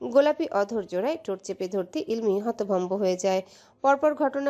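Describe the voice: Lively intonation over plain reading aloud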